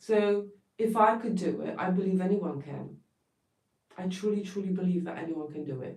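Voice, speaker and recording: A woman speaks with a somewhat breathy voice at medium pitch. Her loudness swings widely. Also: ordinary pitch variation, moderate pace. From Poland. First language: Polish. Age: 40s. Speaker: therapist. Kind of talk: livestream talk.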